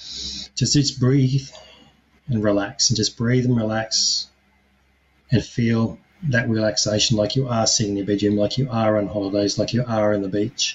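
A man's plain, everyday voice, medium in pitch, at a moderate pace with fairly even intonation. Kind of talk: guided meditation.

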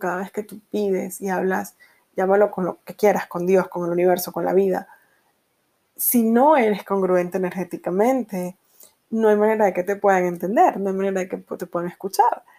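Speaking at a moderate pace, a woman with a medium pitch and a dark, mellow tone keeps a fairly even intonation while her loudness swings widely. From Venezuela. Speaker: podcast host and energy coach. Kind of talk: solo podcast monologue.

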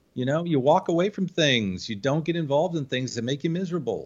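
Speaking at a fairly quick pace, a man uses a plain, everyday voice with a fairly high pitch and an American accent. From upstate New York. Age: 50s. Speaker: graphic designer. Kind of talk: interview, casual chat.

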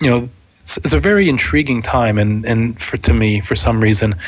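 Noticeable background noise accompanies a man with a medium pitch who talks at a moderate pace with lively intonation. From Pittsburgh, Pennsylvania. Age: 30s. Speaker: podcaster and tech channel manager. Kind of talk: casual interview.

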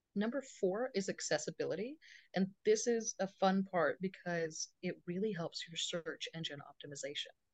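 In an unremarkable speaking voice, a woman speaks at a moderate pace and medium pitch with lively intonation, the sound dry and close with no echo. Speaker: associate attorney. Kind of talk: casual interview.

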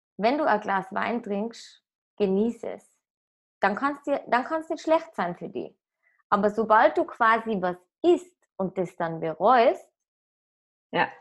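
A woman speaks at a very slow pace in a fairly high pitch, with long, frequent pauses and very wide pitch swings. The recording is very clean, with a silent background. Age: 20s. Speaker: app startup employee. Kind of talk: casual chat.

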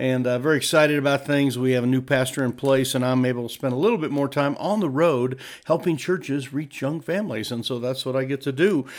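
A man's fairly high voice at a very fast pace with hardly any pauses, ordinary pitch variation, and noticeable background noise. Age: 60s. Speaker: podcast host advising church leaders. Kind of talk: casual monologue podcast. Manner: animated.

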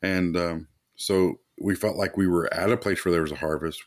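On a very clean recording with a silent background, a man with a Kentucky accent speaks at a moderate pace in a very deep, low pitch with fairly even intonation. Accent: Kentucky Southern US. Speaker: church planter and pastor. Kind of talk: casual interview.

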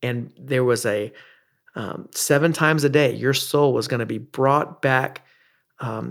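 A man's medium-pitched, fairly even voice with an American accent, an unremarkable speaking voice, on a very clean recording with a silent background. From US South. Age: 40s. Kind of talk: devotional teaching monologue. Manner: frequent filler words (uh, um).

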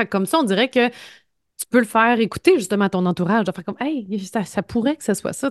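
Against a quiet background, a woman speaks at a moderate pace and a fairly high pitch with lively intonation, the sound dry and close with no echo. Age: 30s. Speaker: podcast co-host, journalist. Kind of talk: casual chat.

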